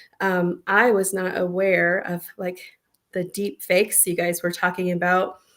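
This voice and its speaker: A woman's medium-pitched voice moves fairly slowly, its intonation monotone and flat. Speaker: co-host of business strategy show. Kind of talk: casual chat.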